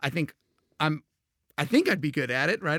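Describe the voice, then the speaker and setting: In a very clean recording with a silent background and a dry, close sound with no echo, a man with an American accent talks very fast at a fairly high pitch with vocal fry. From Texas, Houston. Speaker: game designer. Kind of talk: casual interview.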